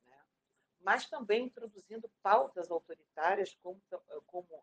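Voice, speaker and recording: There is no echo at all, just a dry, close sound. Delivery is fairly slow. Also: woman. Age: 50s. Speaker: retired teacher and education activist. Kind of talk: interview. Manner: halting.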